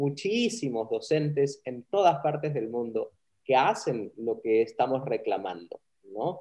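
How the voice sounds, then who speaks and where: A man's fairly high, somewhat breathy voice with a dark, mellow tone, very wide pitch swings and a fairly slow pace. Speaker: communication professor. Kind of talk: interview.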